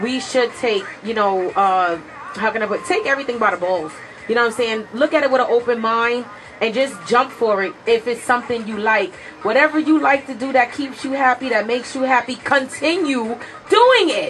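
Crowd noise fills the background as a woman with a high voice speaks at a moderate pace. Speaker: radio show co-host. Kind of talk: radio talk show commentary. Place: studio. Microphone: studio mic.

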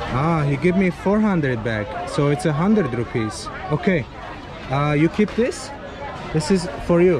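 Crowd noise fills the background while the speaker uses lively intonation with long, frequent pauses. The sound is dry with no echo. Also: man, fairly high pitch for a man, fairly slow pace. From Azerbaijan. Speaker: travel vlogger. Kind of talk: travel vlog with market chats. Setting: outdoors. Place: market. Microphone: phone near.

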